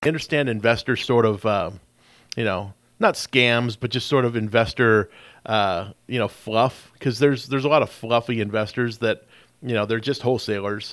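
Here a man of medium pitch has an ordinary speaking voice with fairly even intonation and a moderate pace. The recording is very clean, with a silent background. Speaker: radio show host, real estate investor. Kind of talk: casual radio interview. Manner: casual, filler-heavy.

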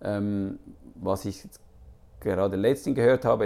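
A man speaks at a moderate pace in a fairly low pitch with ordinary pitch variation. His tone is dark and mellow, with vocal fry. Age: 50s. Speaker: comedy writer. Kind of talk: interview. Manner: halting.

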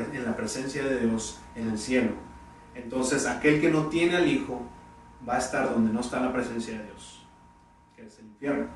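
Through audible room echo and noticeable background noise, a man speaks at a fairly quick pace with ordinary pitch variation. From Mexico, Tampico, Tamaulipas. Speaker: pastor. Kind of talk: sermon. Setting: church. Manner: halting.

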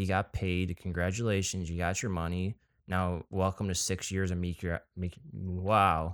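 A man's very deep, low-pitched voice in an American accent, fairly slow with monotone, flat intonation. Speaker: podcast co-host. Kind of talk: casual chat.

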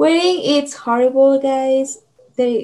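Here is a woman with an unremarkable speaking voice and ordinary pitch variation. She talks at a fairly slow pace. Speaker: podcast co-host. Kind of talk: casual interview.

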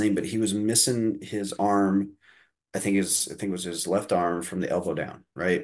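At a fairly quick pace, a man with a Midwestern American accent talks in a fairly low pitch. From Indiana. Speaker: comedian and college professor. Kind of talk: casual interview.

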